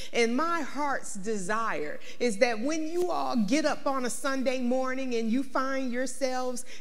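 At a fairly slow pace, a woman speaks in a high voice with ordinary pitch variation. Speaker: pastor. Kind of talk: sermon. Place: church. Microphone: lapel.

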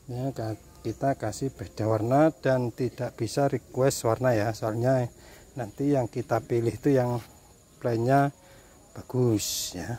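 A man talks at a very slow pace in a medium pitch with a dark, mellow tone. The sound is dry with no echo. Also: fairly even intonation. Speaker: orchid nursery seller. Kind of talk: hawker-style sales pitch, repeating prices and bonuses. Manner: repetitive, circling back to the same offer; casual, chummy patter with filler words. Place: garden. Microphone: phone near.

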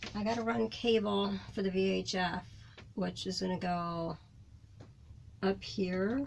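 A woman speaks at a medium pitch with vocal fry. Audible room echo surrounds her voice.

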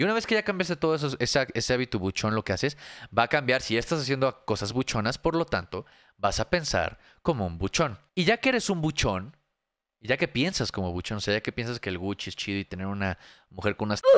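At a fairly quick pace, a man speaks in a medium pitch with very wide pitch swings, in a dry sound with no echo and a quiet background. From Mexico. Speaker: streamer reacting to videos. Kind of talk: casual live stream commentary. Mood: sarcastic, mocking. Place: home room. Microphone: studio mic.

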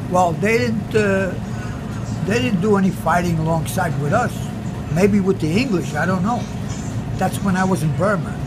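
A man speaks with long, frequent pauses. Loud background noise runs behind him. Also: moderate pace. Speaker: war veteran. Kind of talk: interview answer. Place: cafe. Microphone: phone near.

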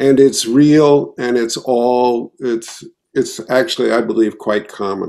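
Against a quiet background, a man with a dark, mellow tone and medium pitch talks at a very slow pace. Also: ordinary pitch variation. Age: 70s. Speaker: therapist; panelist. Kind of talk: panel discussion. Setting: video call. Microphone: video call.

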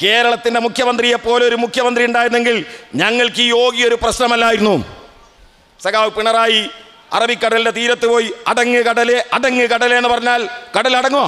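A man uses a raised, projected voice at an extremely high pitch. His loudness stays very even and his intonation is monotone and flat. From Kerala, Kozhikode district; Kerala, India. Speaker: political speaker; speaker. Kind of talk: political speech at memorial rally. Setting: outdoor public meeting under a tent. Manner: oratorical, rhetorical questions to audience. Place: stage. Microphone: podium.

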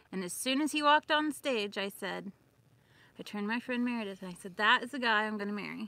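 A woman's tone is bright and sharp. The sound is dry with no echo. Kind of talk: casual livestream storytelling. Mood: amused, nostalgic. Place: open country. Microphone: phone near.

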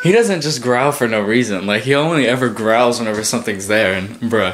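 Music plays in the background behind a voice with lively intonation. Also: man. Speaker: vlogger. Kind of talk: casual vlog chat. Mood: excited, nervous, laughing. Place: home room. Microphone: phone near.

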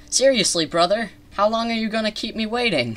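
A man does a put-on character voice at a high pitch. He talks at a fairly quick pace. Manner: impatient, demanding.

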